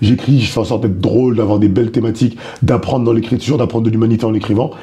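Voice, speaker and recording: Over noticeable background noise, a man talks at a very fast pace and medium pitch, with monotone, flat intonation and very even loudness. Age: 30s. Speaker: stand-up comedian. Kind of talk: interview.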